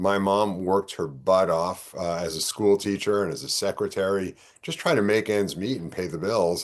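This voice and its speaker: Against a quiet background, a man with a New York accent speaks at a moderate pace with hardly any pauses, in a fairly low pitch with ordinary pitch variation. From New York (Bronx, Yonkers). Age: 60s. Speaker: political candidate. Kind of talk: interview. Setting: podcast.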